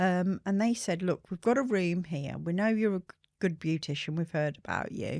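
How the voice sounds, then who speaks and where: A woman with a West Midlands accent, fairly low in pitch, at a moderate pace, in a dry, close sound with no echo. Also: very clean recording, silent background. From England, Shropshire. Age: 60s. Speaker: skincare brand founder. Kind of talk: interview storytelling.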